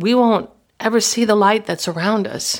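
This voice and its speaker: A woman at a moderate pace with fairly even intonation, on a very clean recording with a silent background. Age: 60s. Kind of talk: devotional talk. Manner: halting.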